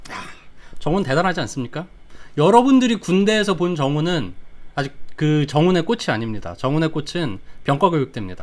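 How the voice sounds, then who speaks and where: A man with a fairly high pitch talks at a fairly quick pace with very wide pitch swings and long, frequent pauses. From Daejeon, South Korea. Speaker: digital marketing YouTuber. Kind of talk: livestream storytelling. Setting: live stream. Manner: casual, conversational.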